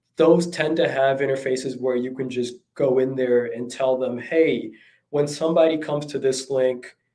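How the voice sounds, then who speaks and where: A man's medium-pitched voice with fairly even intonation and a moderate pace, plus audible room echo. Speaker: e-commerce consultant. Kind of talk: talk. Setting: livestream. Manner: halting, many fillers.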